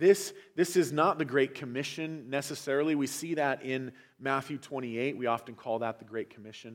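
At a moderate pace, a man speaks at medium pitch in a plain, everyday voice. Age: 40s. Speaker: pastor. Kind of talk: sermon.

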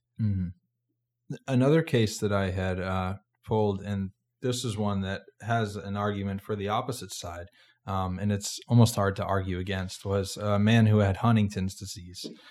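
In a very clean recording with a silent background, a man with an American accent and a fairly low pitch uses a normal speaking voice, a moderate pace and fairly even intonation. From Massachusetts. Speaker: podcast host, medical student. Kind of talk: interview.

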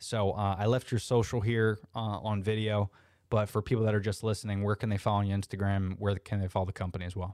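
A man with a Floridian accent speaks very fast in a fairly low, flat monotone, on a very clean recording with a silent background. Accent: Florida American English. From US South, Orlando, Florida. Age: 30s. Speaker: podcast host. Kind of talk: casual interview chat; improvised guided visualization addressed to listeners, asking them to close their eyes. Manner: casual, filler-heavy, frequent uhs and restarts.

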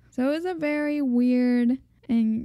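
In a very clean recording with a silent background, a soft-spoken woman talks in a dark, mellow tone with ordinary pitch variation. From Mexican American. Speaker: podcast co-host. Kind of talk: casual chat.

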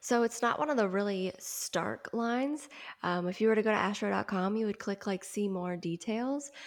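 With an American accent, a woman speaks at a moderate pace and medium pitch, her pitch varying in an ordinary way. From US Midwest and South. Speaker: astrologer. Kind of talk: casual interview chat. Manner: animated.

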